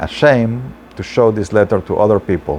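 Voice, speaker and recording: A man with a non-native accent speaks at a moderate pace in a fairly low pitch over noticeable background noise. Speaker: storyteller and translator. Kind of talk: storytelling. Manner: halting.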